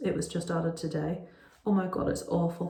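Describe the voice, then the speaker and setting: This is a woman with a Northern Irish accent. Her voice sits at a fairly low pitch. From Northern Ireland. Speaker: parent vlogger. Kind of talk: casual talk to camera.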